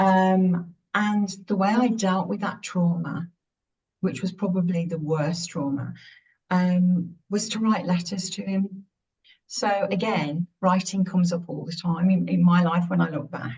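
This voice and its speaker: A woman speaks at a fairly slow pace with a medium pitch and fairly even intonation. Her voice is somewhat breathy. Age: 60s. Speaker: author. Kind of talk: interview. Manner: halting.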